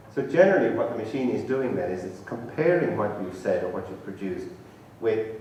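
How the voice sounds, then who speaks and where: A man with an Irish accent, with audible room echo and noticeable background noise. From Ireland, Tipperary. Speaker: professor, conference speaker. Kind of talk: lecture. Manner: conversational, informal.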